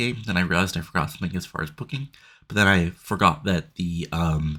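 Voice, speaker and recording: This man's voice is pitched very deep and low, with a bright, sharp tone. The recording is very clean, with a silent background. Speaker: video game let's play narrator. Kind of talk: casual gameplay commentary. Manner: halting, many fillers.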